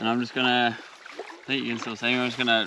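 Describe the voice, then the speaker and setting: Noticeable background noise sits under a man's voice, the sound dry with no echo. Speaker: outdoor vlogger. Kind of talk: casual vlog chat. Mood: relaxed, cheerful. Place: beach. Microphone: camera far.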